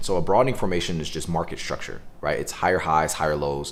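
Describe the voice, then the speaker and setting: This speaker is a man. He gets through his words at a very fast pace. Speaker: day trading educator streamer. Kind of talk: live trading tutorial stream. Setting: live stream with Zoom call. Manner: casual.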